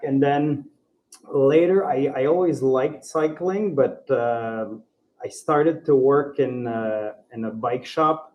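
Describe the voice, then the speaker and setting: A man speaks with a Quebec accent at a very slow pace. His pitch is fairly high, with ordinary pitch variation. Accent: French-Canadian accent in English. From Ontario, francophone. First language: French. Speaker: bike traveller. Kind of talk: podcast interview. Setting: live recording in a bike co-op. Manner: halting.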